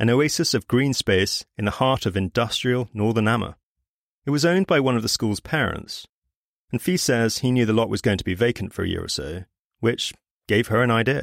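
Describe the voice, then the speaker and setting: On a very clean recording with a silent background and a dry, close sound with no echo, a man with a British accent talks at a fairly quick pace, medium pitch and lively intonation. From Britain. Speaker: podcast host. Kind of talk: scripted narration.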